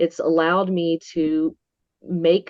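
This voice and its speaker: Speaking in an Appalachian Georgia accent, a woman uses a fairly low pitch and fairly even intonation. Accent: Southern US (Appalachian Georgia). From north Georgia mountains, US South. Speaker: Bigfoot museum worker, witness. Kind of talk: interview. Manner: occasional stumbling over words.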